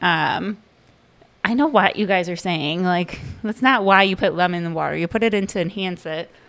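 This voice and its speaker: A woman speaks at a moderate pace with ordinary pitch variation in an ordinary speaking voice. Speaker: segment contributor, mother. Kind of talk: casual chat.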